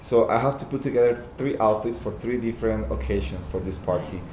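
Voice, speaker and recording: A man with a Costa Rican accent speaks at a medium pitch, with audible room echo. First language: Spanish. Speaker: fashion designer. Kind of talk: casual interview chat. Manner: halting.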